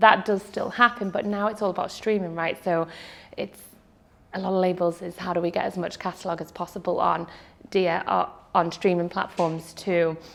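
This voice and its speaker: Speaking in a slight Liverpool accent, a woman keeps a medium pitch and a monotone, flat intonation. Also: moderate pace. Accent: British, toned-down Scouse (Liverpool). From Dubai, with childhood spells in Saudi Arabia and the UK. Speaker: music industry executive, agency founder. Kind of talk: casual interview.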